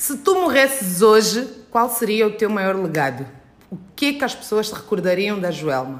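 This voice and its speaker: With audible room echo and noticeable background noise, a woman speaks at a moderate pace in a fairly high pitch that makes very wide swings. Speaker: podcast host. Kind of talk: casual interview chat. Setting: guest's dance studio.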